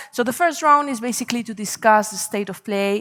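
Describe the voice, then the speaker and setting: Noticeable background noise sits behind a woman with a Spanish accent, a fairly high pitch and ordinary pitch variation. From Spain. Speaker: panel moderator. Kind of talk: conference panel moderation. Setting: conference stage with audience. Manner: hesitant, many fillers.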